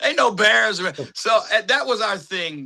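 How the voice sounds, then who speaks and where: A raised, projected voice with a bright, sharp tone delivers its words at a fairly slow pace. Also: man. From Tennessee. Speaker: actor and film director. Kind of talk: interview storytelling.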